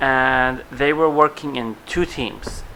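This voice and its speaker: A man speaks at a very slow pace with a Russian accent. His intonation stays fairly even. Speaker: vlogger. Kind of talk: TV episode review vlog. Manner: casual, chatty.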